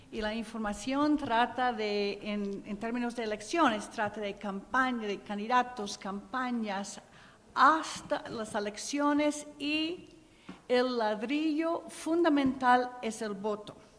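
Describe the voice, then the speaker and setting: In an English accent, a woman speaks at a very slow pace with ordinary pitch variation, and audible room echo surrounds her. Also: fairly high pitch for a woman. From US Midwest (Ohio). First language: English (speaking Spanish). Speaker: program director at a nonprofit. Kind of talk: conference panel talk. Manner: halting.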